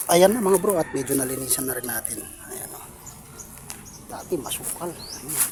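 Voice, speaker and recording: A man speaks at a fairly slow pace with ordinary pitch variation. Noticeable background noise sits behind him. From Pampanga, Philippines. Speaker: vlogger. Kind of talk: casual vlog narration. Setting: outdoors.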